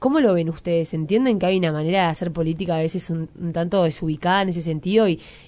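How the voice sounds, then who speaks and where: This woman talks at a very fast pace with fairly even intonation. Her voice is fairly low, with a dark, mellow tone. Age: young. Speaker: radio host. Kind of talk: radio interview.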